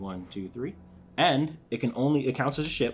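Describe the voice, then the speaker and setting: A man with an ordinary speaking voice and an American accent talks at a fairly quick pace, using lively intonation at a medium pitch. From US Northeast, Philadelphia. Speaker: board game channel host. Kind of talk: casual chat while teaching a board game.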